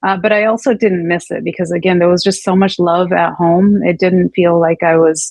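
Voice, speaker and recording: This woman talks at a moderate pace with a Californian accent. Her pitch sits fairly low. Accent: Californian American English. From Northern California, US, Punjabi family. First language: Punjabi. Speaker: abuse survivor telling her story. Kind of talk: interview testimony. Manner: hesitant, many fillers and restarts.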